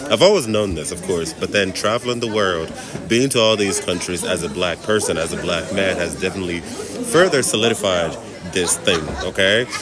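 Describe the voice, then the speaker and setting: A man with a fairly low pitch and an animated tone, moderate pace and ordinary pitch variation, with audible room echo and music in the background. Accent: American. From Nigeria. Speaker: travel vlogger. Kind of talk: casual vlog monologue.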